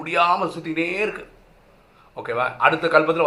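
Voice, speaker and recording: A man with a high-pitched voice. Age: 40s. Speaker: spiritual teacher. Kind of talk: spiritual teaching talk.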